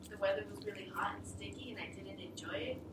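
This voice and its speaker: Loud background noise plus audible room echo. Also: woman. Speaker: presenter. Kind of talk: class presentation. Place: classroom. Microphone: camera far.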